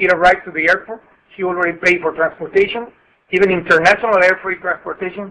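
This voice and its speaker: A man's raised, projected voice with a Spanish accent, high for a man, monotone and flat, at a very fast pace. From Mexico. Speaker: customs broker. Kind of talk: webinar presentation. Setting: conference call. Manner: halting.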